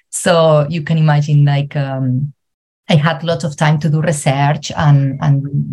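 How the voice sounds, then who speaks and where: Speaking in a Spanish accent, a woman uses a very deep, low pitch and a dark, mellow tone, somewhat breathy, with monotone, flat intonation. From Spain. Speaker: travel coach and psychologist. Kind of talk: interview. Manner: halting.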